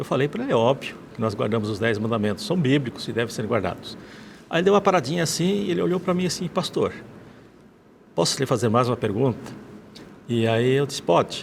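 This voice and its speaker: A man with a medium pitch talks at a very fast pace, his pitch swinging very widely, broken by long, frequent pauses. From Rio Grande do Sul, Brazil. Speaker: former pastor. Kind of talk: testimony. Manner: halting.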